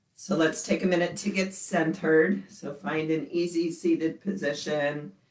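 A woman speaks in a very deep, low voice at a fairly slow pace, with ordinary pitch variation. The room echo is audible, though the background is quiet. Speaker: yoga instructor. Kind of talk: guided class instruction. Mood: calm, gentle. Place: home room. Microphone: camera far.

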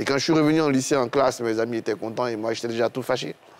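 The man speaks with an ordinary amount of pitch variation. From Côte d'Ivoire. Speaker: historian and political analyst; political analyst. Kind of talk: TV panel discussion. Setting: TV studio. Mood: somber, reflective. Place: studio. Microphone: lapel.

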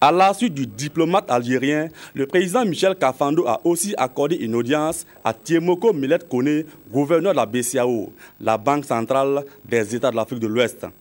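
In a plain, everyday voice, a man talks at a moderate pace with a fairly high pitch and lively intonation. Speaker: news reporter. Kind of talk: news report narration.

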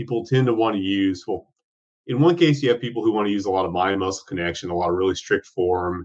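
Against a quiet background, a man with a fairly low pitch uses a normal speaking voice with lively intonation. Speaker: remote podcast guest. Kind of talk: interview answer. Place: home room. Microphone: video call.

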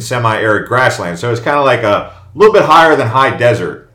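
A man's fairly quick speech with an American accent, medium in pitch and bright, sharp in tone, with audible room echo over a quiet background. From Arizona (Phoenix); Arizona. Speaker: YouTuber giving relocation and travel tips; real estate or lifestyle vlogger. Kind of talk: casual video presentation. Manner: casual with fillers and repetitions. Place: home room.

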